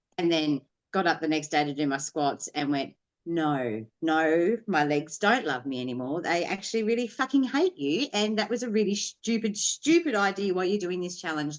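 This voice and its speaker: Woman's fairly low voice in an Australian accent, with very wide pitch swings. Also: moderate pace. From Tasmania, Australia. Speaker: podcast guest, online artist. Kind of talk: casual chat. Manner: animated.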